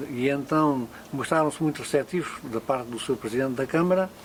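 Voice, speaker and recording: Noticeable background noise under a man's voice, his pitch varying in an ordinary way. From Portugal, Alentejo (Elvas area). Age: 80s+. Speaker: local elder. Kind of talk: oral history interview. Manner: halting.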